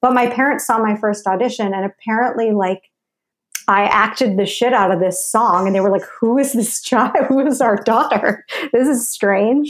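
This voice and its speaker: With an American accent, a woman talks in a normal speaking voice at a fairly high pitch and a moderate pace, her loudness very even and her pitch variation ordinary. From New York (Westchester suburbs). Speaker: actress and filmmaker. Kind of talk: casual interview chat.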